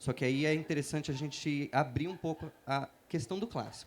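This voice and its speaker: A man's voice sits fairly high in pitch. It rises and falls in an ordinary way. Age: 30s. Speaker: writer. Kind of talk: panel talk. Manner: halting with fillers.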